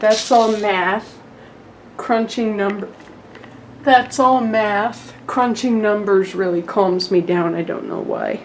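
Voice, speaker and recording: This woman talks at a very slow pace with fairly even intonation. Her pitch is medium, and there is noticeable background noise. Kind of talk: casual room tour vlog.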